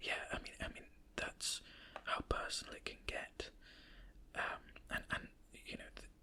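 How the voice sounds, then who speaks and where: Whispering in a British accent, the speaker leaves long, frequent pauses. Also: fairly slow pace. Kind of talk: ASMR whispered ramble. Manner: whispered; hesitant, rambling.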